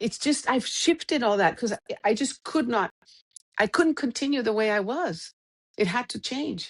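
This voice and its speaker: In a dry, close sound with no echo, a woman with a high voice speaks at a moderate pace and with lively intonation. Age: 50s. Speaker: coaching client. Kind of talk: interview conversation. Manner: halting.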